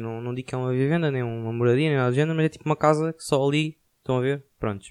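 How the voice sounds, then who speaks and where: A man with a European Portuguese accent speaks at a fairly quick pace in a fairly high pitch. His pitch varies in an ordinary way, and the sound is dry and close with no echo. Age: 20s. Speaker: podcaster. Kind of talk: casual monologue.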